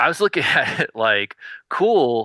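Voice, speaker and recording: A man with a Southern US accent, bright and sharp in tone, in a dry, close recording with no echo against a quiet background. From US South. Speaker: indie record label founder. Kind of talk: podcast interview. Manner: hesitant, many fillers.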